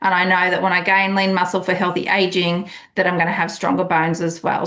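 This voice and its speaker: With an enthusiastic tone, a woman speaks at medium pitch amid audible room echo. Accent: Australian. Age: 50s. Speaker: wellness coach. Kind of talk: online group call presentation. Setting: group call.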